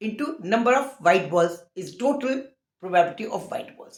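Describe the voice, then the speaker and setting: A woman's fairly high pitch with lively intonation. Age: 60s. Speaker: maths teacher. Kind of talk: tutorial.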